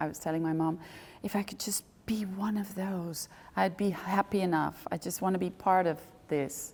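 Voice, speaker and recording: A woman speaks at a moderate pace. Her intonation stays fairly even. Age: 60s. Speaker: ballet director and choreographer. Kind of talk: interview. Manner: hesitant, many fillers.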